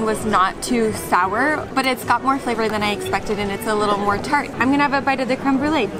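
Clear music plays in the background as a woman talks at a very fast pace with ordinary pitch variation. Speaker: travel vlogger. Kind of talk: casual vlog chat. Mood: cheerful, chatty. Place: street. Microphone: camera far.

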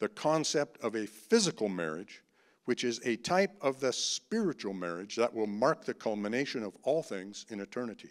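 A man with a medium-pitched voice speaks at a fairly slow pace, his pitch swinging widely.

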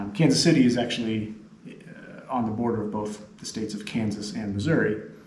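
Amid light background noise and audible room echo, a man speaks with ordinary pitch variation. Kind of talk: casual interview-style chat to camera. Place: hall. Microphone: camera far.

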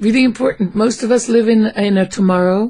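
A woman talks at a fairly slow pace with ordinary pitch variation. Her voice is somewhat breathy. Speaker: interviewee. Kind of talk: interview answer. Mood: warm, amused storytelling. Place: home room. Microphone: studio mic.

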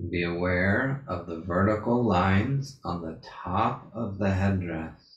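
Soft-spoken, very slow speech from a man with very deep, low pitch, ordinary pitch variation, hardly any pauses and audible room echo. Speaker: meditation guide. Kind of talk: guided meditation. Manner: slow, soft-spoken, repeating cues with pauses. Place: home room.

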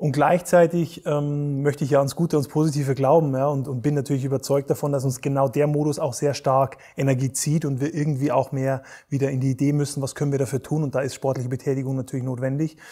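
This man talks at a very fast pace with hardly any pauses, his fairly high-pitched voice somewhat breathy with a dark, mellow tone. His intonation is monotone and flat, and the background is quiet. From Bavaria, Germany. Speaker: resilience coach and Olympic rowing champion; resilience coach. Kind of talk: interview conversation.

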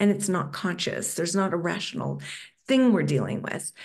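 At a moderate pace, a woman speaks with fairly low pitch and big pitch swings.

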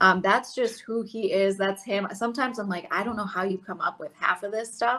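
Hardly pausing, a speaker with an American accent moves at a fairly quick pace in a bright, sharp tone with fairly even intonation. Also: woman. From US Midwest. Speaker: sports reporter. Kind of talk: interview. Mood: friendly, upbeat. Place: home room. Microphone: video call.

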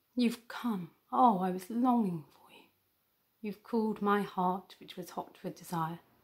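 Over a quiet background, a woman speaks somewhat breathily at a fairly slow pace with ordinary pitch variation. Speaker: academic poetry reader. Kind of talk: poetry reading. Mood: gentle, wistful, expressive. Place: home room. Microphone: phone near.

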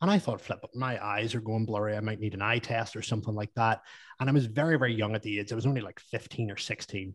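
Over a quiet background, a man speaks very fast with a Northern Irish accent. His medium-pitched voice keeps a fairly even intonation. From Northern Ireland. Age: 30s. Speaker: business coach to fitness professionals. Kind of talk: casual interview chat. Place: home room. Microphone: studio mic.

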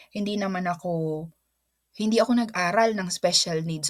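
A woman speaks at a medium pitch. Her pitch rises and falls in an ordinary way. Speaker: teacher and vlogger. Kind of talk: casual vlog talk. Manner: halting, with fillers and repeats.

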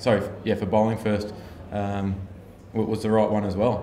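With audible room echo and light background noise, a man speaks at a fairly quick pace. His fairly low voice has a dark, mellow tone and monotone, flat intonation. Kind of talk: interview answer. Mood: calm, reflective after a loss. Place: hall. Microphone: handheld.

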